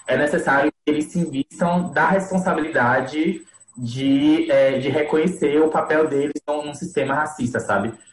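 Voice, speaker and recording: A man talks fairly slowly in a somewhat breathy voice. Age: 20s. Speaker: podcast co-host, lawyer. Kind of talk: casual group conversation.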